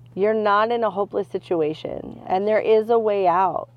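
A moderate-paced, monotone delivery with flat intonation in an American accent. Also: woman. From California (Stockton). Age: 40s. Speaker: church member, recovered addict. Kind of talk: testimony.

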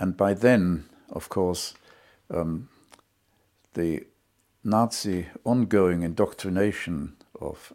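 In a slight German accent, a man talks with a very deep, low pitch and a dark, mellow tone. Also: very clean recording, silent background. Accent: slight German-accented British English. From Germany. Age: 80s+. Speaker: Holocaust survivor. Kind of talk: testimony. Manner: clear and logical; dignified, measured.

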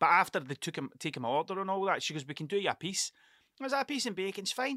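Over a very clean recording with a silent background and a dry, close sound with no echo, a man talks fast in a high pitch with a bright, sharp tone and lively intonation.

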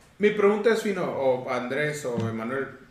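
With lively intonation and a fairly high pitch, a man speaks at a moderate pace, joined by audible room echo and noticeable background noise. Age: 30s. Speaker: card shop owner. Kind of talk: casual chat.

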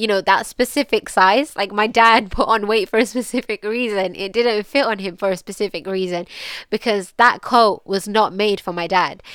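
With a British accent, a woman speaks at a moderate pace with fairly even intonation. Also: medium pitch for a woman. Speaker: podcast host. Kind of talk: personal reflective monologue.

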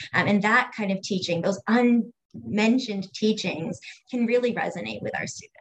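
In a plain, everyday voice, a woman with an American accent speaks at medium pitch and a moderate pace, with ordinary pitch variation. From US Northeast, Cape Cod area. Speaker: educator and LGBTQ equality consultant. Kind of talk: casual interview chat.

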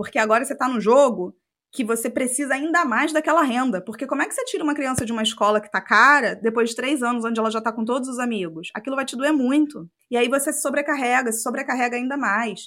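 A woman's high-pitched voice at a very fast pace, with hardly any pauses and ordinary pitch variation. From Rio de Janeiro state, Brazil (Macaé). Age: 30s. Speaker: podcast co-host. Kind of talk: casual chat.

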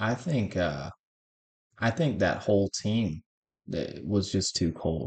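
A man speaks in a somewhat breathy, fairly low voice with lively intonation. His pace is very slow, with long, frequent pauses. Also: quiet background. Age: 30s. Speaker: podcast co-host. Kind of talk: casual chat.

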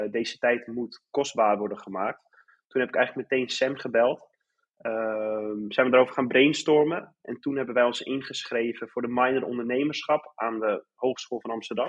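Speaking at a moderate pace, a man with a normal speaking voice keeps a medium pitch and fairly even intonation. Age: 20s. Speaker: startup co-owner, economics student. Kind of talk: interview.

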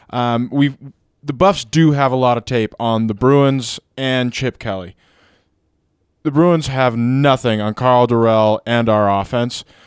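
This man has a plain, everyday voice at a medium pitch. He speaks at a fairly slow pace with ordinary pitch variation. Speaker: podcast producer. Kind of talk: casual sports chat.

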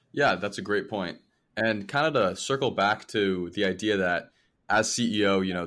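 At a moderate pace, a man with a fairly low pitch and an unremarkable speaking voice is heard on a very clean recording with a silent background. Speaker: student podcast host. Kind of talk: interview.

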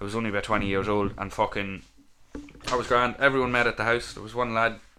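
A man's very fast speech in a Louth accent, fairly low in pitch, with fairly even intonation and a bright, sharp tone. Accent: Irish, Louth. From Ireland, Dundalk. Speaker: podcast co-host. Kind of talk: casual chat.

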